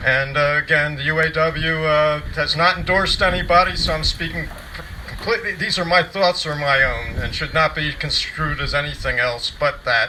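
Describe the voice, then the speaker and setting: Noticeable background noise surrounds a man with a fairly high pitch. He talks at a moderate pace with fairly even intonation. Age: old. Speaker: retired union official. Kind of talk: rally speech. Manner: halting.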